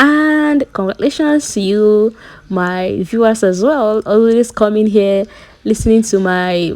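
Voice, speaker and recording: A woman with a Nigerian accent and an animated tone, at a fairly slow pace, over noticeable background noise. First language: Nigerian language (English is borrowed). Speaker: YouTube entertainment commentator. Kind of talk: casual vlog recap. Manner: casual, animated.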